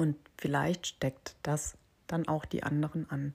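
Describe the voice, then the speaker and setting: A woman's very deep, low voice, somewhat breathy, with a dark, mellow tone, monotone and flat at a fairly slow pace, on a very clean recording with a silent background. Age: 40s. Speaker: life coach and podcast host. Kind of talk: solo podcast monologue. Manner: hesitant fillers.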